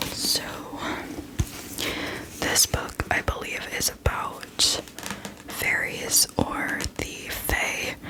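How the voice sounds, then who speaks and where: Whispered words come at a very slow pace, broken by long, frequent pauses, with noticeable background noise. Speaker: ASMR creator. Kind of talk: ASMR whispered book ramble.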